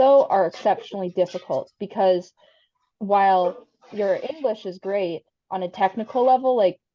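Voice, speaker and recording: A woman with an American accent has a dark, mellow tone and a medium pitch. She speaks at a moderate pace with ordinary pitch variation. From US Midwest, Wisconsin. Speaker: PhD student, guest speaker. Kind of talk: casual chat. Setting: video call.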